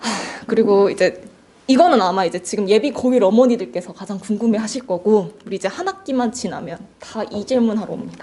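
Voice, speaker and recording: Through noticeable background noise, a woman with fairly high pitch speaks at a fairly quick pace and ordinary pitch variation. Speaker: cram school English teacher. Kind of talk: admissions information session for parents. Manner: fast.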